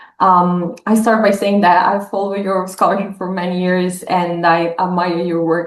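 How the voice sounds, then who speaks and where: An Italian accent at a moderate pace, with fairly even intonation. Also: woman. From northern Italy. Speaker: professor. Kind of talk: academic interview. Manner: hesitant, many fillers.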